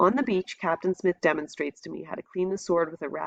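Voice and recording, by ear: Someone reads aloud in a natural voice with fairly even intonation.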